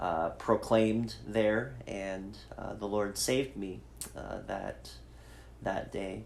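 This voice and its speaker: Audible room echo surrounds a man with a fairly low pitch. He talks at a fairly slow pace. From Idaho, US. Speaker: pastor. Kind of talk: personal testimony in a podcast chat. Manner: hesitant, many fillers.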